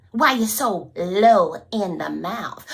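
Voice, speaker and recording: Against noticeable background noise, a woman talks with very wide pitch swings. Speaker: storyteller. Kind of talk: folk tale storytelling. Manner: lively, call-and-response.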